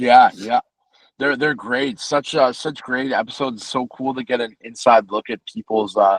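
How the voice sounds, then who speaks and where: His intonation stays fairly even, and the sound is dry and close with no echo. It is a man speaking in a normal speaking voice. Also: medium pitch for a man, moderate pace. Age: 30s. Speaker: guitarist and singer-songwriter. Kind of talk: casual interview. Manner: casual, many fillers.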